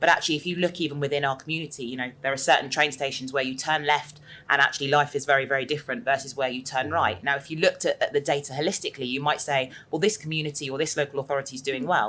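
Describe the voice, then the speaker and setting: A woman in a southern English accent talks at a very fast pace with hardly any pauses, her very deep, low pitch carrying a bright, sharp tone and ordinary pitch variation. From southern England. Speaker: panel speaker. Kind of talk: panel discussion.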